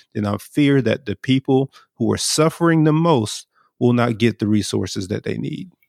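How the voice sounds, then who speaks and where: A man with an American accent and an ordinary speaking voice speaks at a moderate pace, in a dry, close sound with no echo. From US South, Brunswick, Georgia. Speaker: leader of a justice organization. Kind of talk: casual chat.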